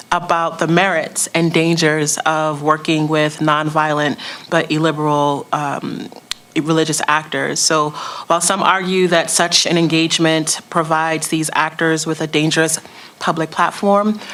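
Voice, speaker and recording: Against noticeable background noise, a woman with a very deep, low pitch talks at a moderate pace in a monotone, flat intonation, her loudness very even. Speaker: panel moderator and radio host. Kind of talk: panel moderation. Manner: hesitant, many fillers.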